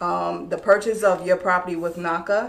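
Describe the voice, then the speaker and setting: Light background noise sits behind the voice. A woman with a New York accent speaks at a fairly low pitch. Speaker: real estate broker; guest. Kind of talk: explaining a mortgage program in an interview. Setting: live online video stream. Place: meeting room. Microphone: camera far.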